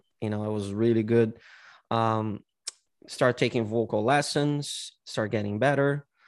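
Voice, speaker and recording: Speaking at a fairly slow pace, a man with a Brazilian accent uses a medium pitch and fairly even intonation. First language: Portuguese. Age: 40s. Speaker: singer-songwriter and martial arts teacher. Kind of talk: casual interview chat. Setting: video call.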